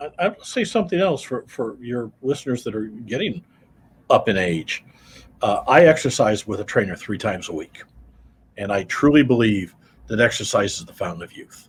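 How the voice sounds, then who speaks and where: Somewhat breathy and in an American accent, the voice moves at a moderate pace with very wide pitch swings and big swings in loudness. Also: man, medium pitch for a man. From US Midwest, Iowa. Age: 70s. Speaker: accountant. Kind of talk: interview. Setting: radio studio.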